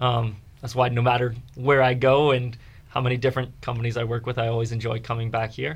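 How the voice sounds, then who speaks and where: A man with an American accent speaks at a fairly quick pace, somewhat breathy, at medium pitch with fairly even intonation. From Fredericksburg, Virginia. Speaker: musical theater actor. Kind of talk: radio interview.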